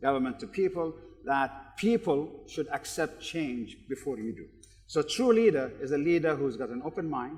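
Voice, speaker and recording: Loudness swings widely as a man with a normal speaking voice, fairly high in pitch, talks at a moderate pace with lively intonation. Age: 60s. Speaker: business executive and keynote speaker. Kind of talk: panel discussion.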